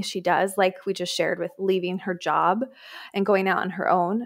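Over music in the background, a woman of medium pitch speaks with a monotone, flat intonation. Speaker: podcast co-host. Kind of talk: podcast intro and discussion.

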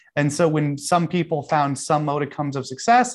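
In a plain, everyday voice, a man with a fairly high pitch talks at a moderate pace against a quiet background. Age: 30s. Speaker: professional trader. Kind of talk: interview.

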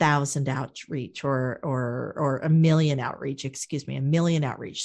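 At a moderate pace, a woman with a very deep, low pitch speaks in a fairly even intonation. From US Midwest, Wichita, Kansas. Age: 50s. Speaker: speaker and media producer. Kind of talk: interview.

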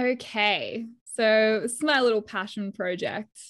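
A woman with an Australian accent speaks fairly slowly at medium pitch with ordinary pitch variation, in a very clean recording with a silent background. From Perth, Western Australia. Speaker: ski instructor. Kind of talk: casual chat.

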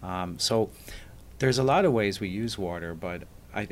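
Speaking with an Irish accent, a man keeps a moderate pace and ordinary pitch variation. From Ireland, Dublin. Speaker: architect. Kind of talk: interview.

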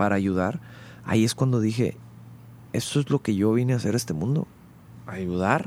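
A man with a plain, everyday voice talks at a fairly quick pace with ordinary pitch variation. The recording is very clean, with a silent background. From Monterrey, northern Mexico. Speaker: rock band vocalist. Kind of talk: casual interview.

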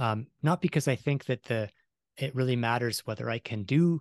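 A man with a Canadian accent talks at a fairly quick pace in a medium pitch with ordinary pitch variation, his voice dry and close with no echo against a quiet background. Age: 40s. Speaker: science journalist and author. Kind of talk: interview. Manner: rambling, self-interrupting.

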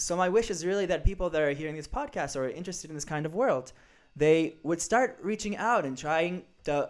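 A man's high-pitched voice with ordinary pitch variation, on a very clean recording with a silent background. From Israel. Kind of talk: casual chat.

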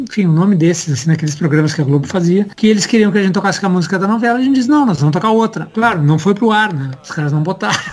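Over noticeable background noise, a man rattles along at a very fast pace with lively intonation. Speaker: rock musician. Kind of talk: interview conversation.

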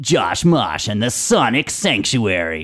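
A man in a put-on character voice speaks fairly slowly at a medium pitch with very wide pitch swings. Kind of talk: radio announcer.

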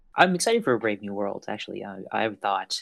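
A man with a Canadian accent at a very fast pace and fairly low pitch, in a very clean recording with a silent background and a dry, close sound with no echo. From Canada. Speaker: podcast guest. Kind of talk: casual chat.

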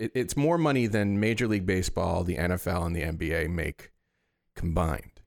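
Here a man has a plain, everyday voice, fairly low in pitch, with lively intonation. The recording is very clean, and the background is silent. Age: 40s. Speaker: podcast co-host. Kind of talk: presenting researched facts; casual chat.

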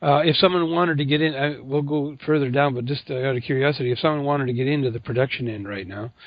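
A man with an ordinary speaking voice talks at a fairly quick pace, with medium pitch and fairly even intonation. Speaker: podcast host. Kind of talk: interview.

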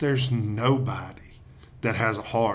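A man with a Southern US accent, monotone and flat in intonation, at a very slow pace. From Tennessee. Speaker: pastor. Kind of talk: interview.

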